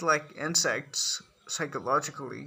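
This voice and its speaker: A man is speaking. He has a Nepali accent. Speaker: commentator on culture. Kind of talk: monologue to camera. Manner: hesitant, with fillers and restarts.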